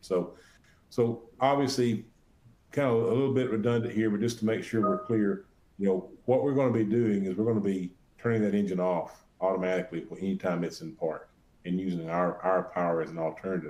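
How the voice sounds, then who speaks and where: With an Alabama accent, a man talks fairly quickly in a fairly low, dark, mellow voice. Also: ordinary pitch variation. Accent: Alabama Southern. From US South, Alabama. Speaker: sales presenter. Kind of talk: webinar presentation. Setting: online webinar. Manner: halting, many fillers and repeated words.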